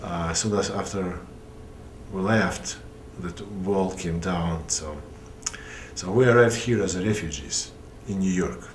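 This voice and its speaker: With a Russian accent and a very deep, low pitch, a man talks at a fairly slow pace with long, frequent pauses and ordinary pitch variation, amid noticeable background noise and audible room echo. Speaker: puppeteer. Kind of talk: interview. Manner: halting.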